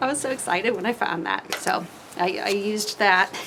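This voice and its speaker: A woman speaking at a fairly slow pace over noticeable background noise. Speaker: poet. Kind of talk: casual vlog talk; poetry reading. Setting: outdoors on screened-in porch, cold. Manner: halting, many fillers.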